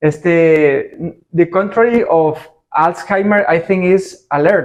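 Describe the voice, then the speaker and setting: In a Spanish accent, a man talks very slowly at a high pitch with ordinary pitch variation. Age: 40s. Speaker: interviewer, rental business owner. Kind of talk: interview.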